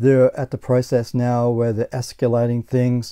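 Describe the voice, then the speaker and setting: A man with a dark, mellow tone speaks against a quiet background. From Australia. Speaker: gaming YouTuber. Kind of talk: casual vlog monologue. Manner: halting, with frequent repetitions. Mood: annoyed about bad purchase. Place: home room.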